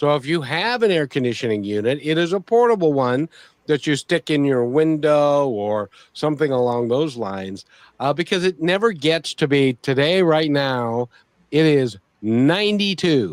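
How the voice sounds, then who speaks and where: A man with an American accent speaks in an ordinary speaking voice, fairly high-pitched for a man, with lively intonation at a moderate pace, in a dry, close recording with no echo. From US Pacific Northwest. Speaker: radio show host. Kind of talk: podcast interview talk. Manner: casual, chatty.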